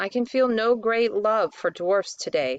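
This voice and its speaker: Putting on a character voice, a woman speaks at a moderate pace with a fairly high pitch and lively intonation. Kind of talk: archaic formal speech. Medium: read story.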